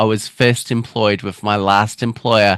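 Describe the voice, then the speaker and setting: A man with an Australian accent speaks at a fairly slow pace, recorded very cleanly with a silent background and a dry, close sound with no echo. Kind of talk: casual interview chat. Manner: halting, broken-up speech with restarts; many filler words.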